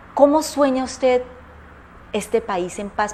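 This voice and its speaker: A woman talks with ordinary pitch variation over noticeable background noise. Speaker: talk show host. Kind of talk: political commentary; interview.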